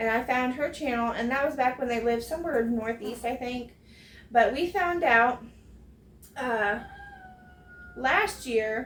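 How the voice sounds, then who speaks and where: Against noticeable background noise, a woman with an American accent speaks at a high pitch and a fairly slow pace. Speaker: homesteading vlogger. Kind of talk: casual chat. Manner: careful, enunciated on camera; casual, many fillers.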